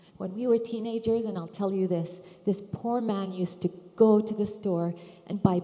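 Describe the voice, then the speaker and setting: The speaker has an Arabic accent. The intonation stays fairly even. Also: woman. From Iraq (Baghdad), then London from age 7-8. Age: 50s. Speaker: sustainability consultant and conference speaker. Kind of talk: conference talk.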